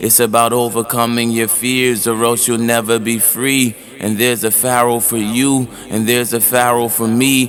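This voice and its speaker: Over music in the background, a man with a medium-pitched voice speaks at a moderate pace in a monotone, flat intonation. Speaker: spoken word poet. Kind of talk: spoken word poetry performance.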